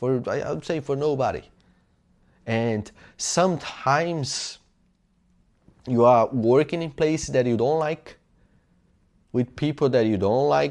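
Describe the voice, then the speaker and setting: Recorded very cleanly against a silent background, a man with a medium-pitched voice and ordinary pitch variation speaks at a fairly slow pace with long, frequent pauses. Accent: Portuguese. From Brazil. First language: Portuguese. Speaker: self-improvement YouTuber. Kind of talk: motivational talk. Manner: halting, with self-corrections.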